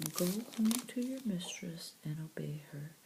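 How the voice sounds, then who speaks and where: A soft-spoken, gentle tone at a fairly slow pace. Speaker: audio Bible reader. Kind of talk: soft-spoken Bible reading.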